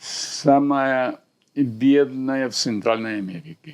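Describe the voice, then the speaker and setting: A man speaks with a Central American accent. His pitch is medium. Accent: Spanish (Central American) accent in Russian. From Honduras. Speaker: surgeon and university lecturer. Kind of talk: interview answer.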